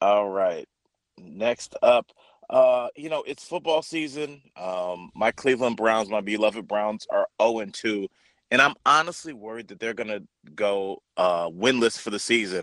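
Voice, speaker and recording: A man speaks in a plain, everyday voice at a medium pitch and a fairly slow pace, with lively intonation. His loudness swings widely, and the sound is dry and close with no echo. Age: 30s. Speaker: comedian. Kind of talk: call-in news quiz banter.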